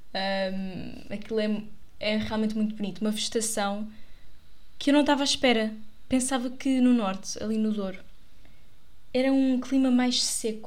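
A woman with a fairly high pitch speaks at a moderate pace with fairly even intonation. Long, frequent pauses break up her speech, and the room echo is audible. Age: 20s. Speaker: actress and podcaster. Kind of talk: casual monologue. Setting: home recording in her bedroom. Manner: chatty, with fillers and laughs.

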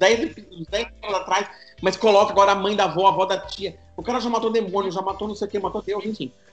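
A man's high-pitched voice at a very fast pace, with fairly even intonation and noticeable background noise. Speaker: podcast guest. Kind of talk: casual chat.

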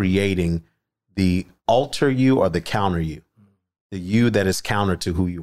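A man with an American accent speaks at a moderate pace in a very deep, low voice. The recording is very clean, with a silent background. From Philadelphia, US. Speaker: author, activist and minister. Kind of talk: casual interview chat.

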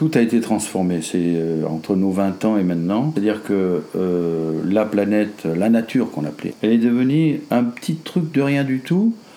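A man's fairly low voice with very wide pitch swings. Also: moderate pace. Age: 70s. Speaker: grandfather of the host. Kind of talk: casual family conversation. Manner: halting, repeats words.

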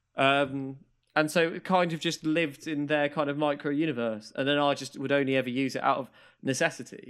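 In a very clean recording with a silent background, a man with a southern English accent talks at a fairly quick pace, his fairly high pitch following fairly even intonation. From southern England (Maidstone, Kent). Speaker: podcast co-host. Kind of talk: casual chat.

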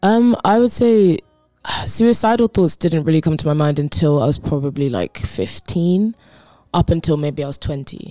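Against music in the background, a woman with a very deep, low pitch talks at a moderate pace with very wide pitch swings. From South London, Croydon. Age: 20s. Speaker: guest sharing life testimony. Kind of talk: testimony. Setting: studio.

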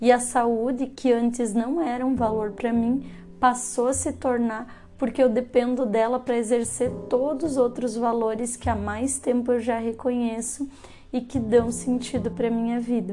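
Over music in the background, a woman speaks at a high pitch and a moderate pace, her intonation flat and monotone. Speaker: psychologist podcast host. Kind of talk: solo podcast monologue.

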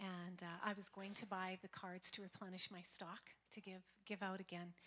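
A woman speaks in a monotone, flat way at a moderate pace. Her medium-pitched voice has a bright, sharp tone. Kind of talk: testimony. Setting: church.

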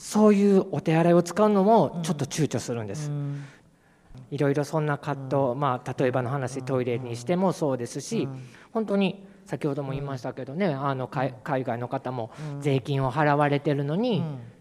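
A man's normal speaking voice, fairly high in pitch, at a moderate pace. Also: ordinary pitch variation. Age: 50s. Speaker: city council member and LGBTQ advocate. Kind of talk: panel discussion. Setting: public hall with audience.

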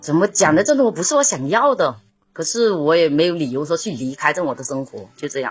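Here a woman speaks at a fairly quick pace in a fairly low pitch. Her pitch swings very widely. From Hainan, Haikou. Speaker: caller. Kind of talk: casual chat. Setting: live-stream call-in.

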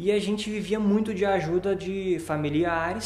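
A man speaks with a high pitch and fairly even intonation at a fairly slow pace. Room echo is audible. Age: 20s. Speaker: digital marketing entrepreneur. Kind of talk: podcast interview.

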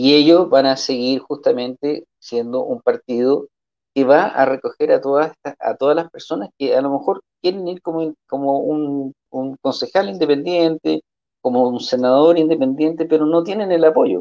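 Dry and close with no echo, a man's dark, mellow voice sits at a fairly high pitch and moves at a moderate pace with lively intonation. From Chile (born in New York, partly raised in Cairo). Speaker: presidential candidate. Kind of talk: interview.

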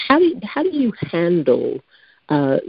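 A woman at a very slow pace. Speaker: podcast host. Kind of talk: interview.

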